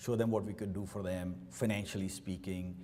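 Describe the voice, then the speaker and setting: A man is speaking. He keeps a moderate pace. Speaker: company CEO. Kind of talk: keynote speech. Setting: luncheon event with audience.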